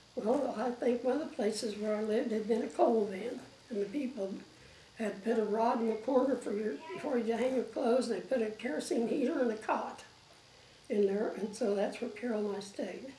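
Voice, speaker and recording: A woman talking at a fairly quick pace, amid noticeable background noise and audible room echo. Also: fairly high pitch for a woman, ordinary pitch variation. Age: 80s+. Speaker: elderly interviewee recalling life story. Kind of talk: oral history interview. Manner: halting, many fillers.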